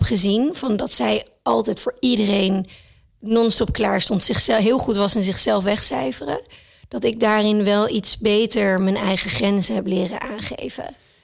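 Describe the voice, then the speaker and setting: A woman talks at a fairly slow pace with vocal fry. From Thailand and the Netherlands. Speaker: entrepreneur and mother. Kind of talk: casual interview.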